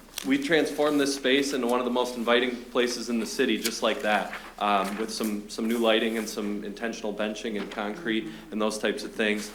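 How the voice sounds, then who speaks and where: Against noticeable background noise and audible room echo, a man speaks at a fairly quick pace. His pitch is medium and his intonation fairly even. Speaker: public commenter at city council. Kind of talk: public comment. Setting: city council meeting. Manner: fast.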